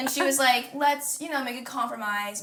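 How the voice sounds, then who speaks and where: Amid audible room echo, a woman talks at a fairly quick pace with lively intonation. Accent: American. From Kansas, US Midwest. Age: 20s. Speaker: singer-songwriter. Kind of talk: casual chat. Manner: casual, filler-heavy.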